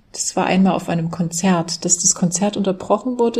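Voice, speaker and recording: Speech comes at a moderate pace with ordinary pitch variation. There is a somewhat breathy quality to it. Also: woman. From Saxony, Germany (Dresden). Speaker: German language teacher. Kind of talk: interview.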